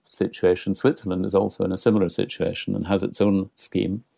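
Speaking in a Scottish accent, a man with a fairly low pitch and a dark, mellow tone talks at a moderate pace on a very clean recording with a silent background. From Scotland. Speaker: international cultural relations consultant. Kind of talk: interview.

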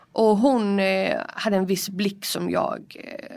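A woman with a medium pitch and fairly even intonation speaks in a normal speaking voice on a very clean recording with a silent background. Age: 20s. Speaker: prison inmate. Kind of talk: interview testimony. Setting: prison visiting room.

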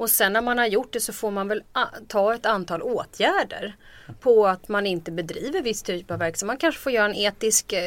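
At a fairly quick pace, a woman talks with medium pitch, ordinary pitch variation and a plain, everyday voice. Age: 40s. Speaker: political commentator. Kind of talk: casual chat.

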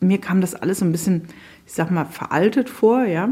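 Here a woman has a normal speaking voice. She talks at a moderate pace. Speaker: writer. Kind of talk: interview.

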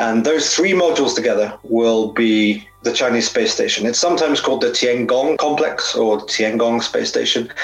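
With noticeable background noise behind him, a man speaks at a moderate pace and medium pitch, with ordinary pitch variation, very even loudness and hardly any pauses. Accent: British. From Britain. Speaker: space industry journalist. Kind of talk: interview. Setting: home sauna.

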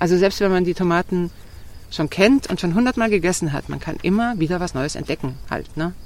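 A woman speaks in a fairly low voice. Vocal fry runs through her speech. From southern Germany and Switzerland. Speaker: tomato grower. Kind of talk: casual interview. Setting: outdoors on a farm.

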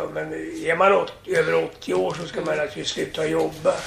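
A man talks while noticeable background noise runs through the clip. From Sweden. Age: 80s+. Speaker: entertainer. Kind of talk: casual chat. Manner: halting.

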